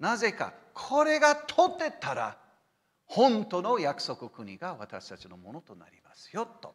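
Against a quiet background, a man speaks at a fairly slow pace in an animated tone. His loudness swings widely. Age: 60s. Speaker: missionary pastor. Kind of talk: lecture. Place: church.

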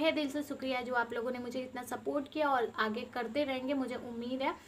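With light background noise behind her, a woman speaks at a high pitch in a monotone, flat intonation. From eastern Uttar Pradesh (Deoria, Purvanchal); eastern Uttar Pradesh. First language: Bhojpuri (speaking Hindi). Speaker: village lifestyle vlogger. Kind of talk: casual vlog talk to camera. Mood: upset, emotional, heartfelt. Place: home room. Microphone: phone near.

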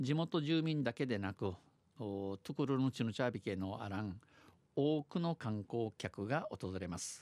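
In an unremarkable speaking voice, a man talks at a fairly slow pace with medium pitch and lively intonation, recorded very cleanly with a silent background and a dry, close sound with no echo. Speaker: dialect news presenter. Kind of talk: radio news read in Okinawan dialect and Japanese.

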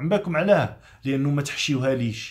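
A man's lively intonation and moderate pace come through against a quiet background. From Algeria. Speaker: chef and political commentator; political commentator. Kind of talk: motivational vlog monologue. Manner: animated. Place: home room.

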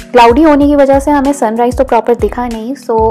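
A woman with fairly even intonation, faint music playing in the background. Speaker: travel vlogger. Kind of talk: casual vlog narration.

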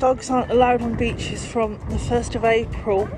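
Music plays in the background of this fairly slow-paced speech, which has a dry sound with no echo. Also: woman. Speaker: vlogger. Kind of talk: casual vlog chat. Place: street. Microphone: phone near.

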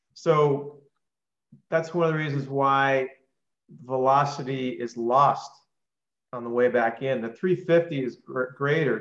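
This man's voice sits fairly high. Audible room echo surrounds it. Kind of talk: live Q&A on a video call. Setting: video call. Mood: enthusiastic, conversational. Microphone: video call.

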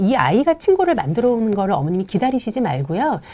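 Very fast speech with a dark, mellow tone, vocal fry and very wide pitch swings. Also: woman. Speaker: play therapist. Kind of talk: live parenting Q&A. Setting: studio live stream. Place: studio. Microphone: lapel.

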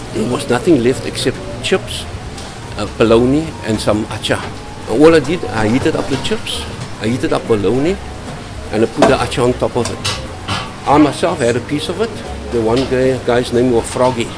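Speaking at a moderate pace with ordinary pitch variation and long, frequent pauses, a man is heard over clear background music. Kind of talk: storytelling interview answer. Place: kitchen.

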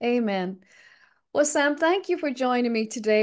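A woman at a fairly high pitch and moderate pace against a quiet background. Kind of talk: interview. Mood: warm, devout. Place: home room. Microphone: webcam.

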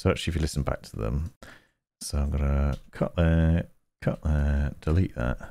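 A man with a very deep, low voice and a dark, mellow tone talks at a moderate pace in fairly even intonation, the sound dry with no echo. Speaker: gaming and tech video creator; tech video creator. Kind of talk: tutorial. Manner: thoughtful, measured pauses. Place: home room. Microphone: headset.

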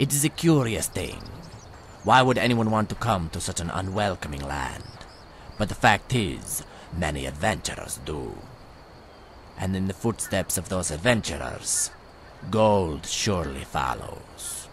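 Over clear background noise, a man does a put-on character voice with a very deep, low pitch at a moderate pace, leaving long, frequent pauses. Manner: smooth, salesman's patter, speaks of self as this one.

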